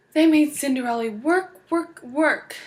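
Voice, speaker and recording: A woman speaks at a moderate pace in a high-pitched, put-on character voice. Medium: read story.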